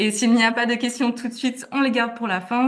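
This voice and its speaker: The woman's voice is somewhat breathy. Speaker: webinar moderator. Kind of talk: webinar moderation. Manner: hesitant, many fillers.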